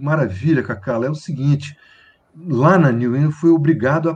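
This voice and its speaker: A man's fairly high voice comes across somewhat breathy at a moderate pace. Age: 60s. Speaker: conductor, pianist, composer and singer. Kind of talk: casual interview. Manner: halting, repeats words.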